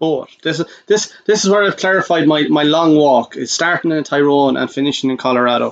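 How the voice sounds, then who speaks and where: In an Irish accent, a man speaks at a fairly quick pace with a fairly high pitch and ordinary pitch variation. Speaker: podcast co-host. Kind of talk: casual chat.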